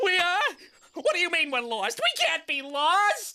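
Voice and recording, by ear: An extremely high cartoonish character voice at a moderate pace.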